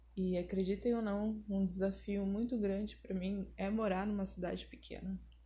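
Speaking at a moderate pace, the woman barely pauses at all. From southern Brazil, Porto Alegre. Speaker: YouTuber. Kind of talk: personal monologue podcast.

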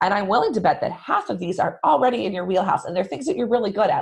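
A woman with a medium-pitched, somewhat breathy voice sounds enthusiastic, her intonation lively. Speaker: sales podcast host. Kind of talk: solo podcast monologue.

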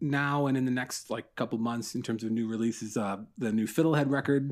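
A man at medium pitch with a Canadian accent, at a fairly quick pace, on a very clean recording with a silent background. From Ontario, Canada (Newmarket, north of Toronto). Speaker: baseball podcaster and newsletter writer. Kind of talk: casual chat.

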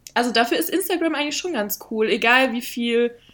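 Speaking with ordinary pitch variation, a woman has a high voice. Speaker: podcast guest. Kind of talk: casual chat.

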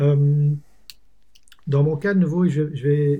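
Somewhat breathy and dark, mellow in tone, the voice moves at a very slow pace with fairly even intonation. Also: man. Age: 40s. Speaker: entrepreneur. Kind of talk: casual chat.

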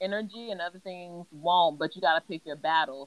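An ordinary speaking voice with an American accent moves at a moderate pace. Its pitch varies in an ordinary way. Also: woman. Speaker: guest. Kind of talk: casual chat.

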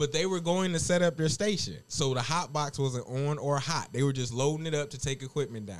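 This man talks at a fairly quick pace with hardly any pauses. His tone is animated and his pitch fairly high. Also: ordinary pitch variation. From US, Detroit. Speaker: podcast host and chef. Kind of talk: casual chat.

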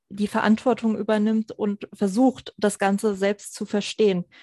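The recording is dry and close with no echo, over a quiet background. A woman speaks at a medium pitch and moderate pace. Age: 20s. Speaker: psychologist and finance coach. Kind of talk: podcast interview.

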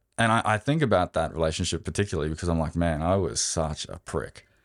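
A man with an Australian accent at a fairly quick pace, ordinary pitch variation, on a very clean recording with a silent background. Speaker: amateur marathon runner. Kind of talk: interview.

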